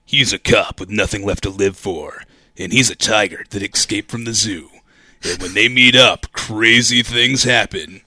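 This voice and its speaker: A man with a medium pitch, a dramatic tone and a moderate pace. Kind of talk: movie trailer voice-over. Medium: comedy sketch. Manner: portentous, dramatic.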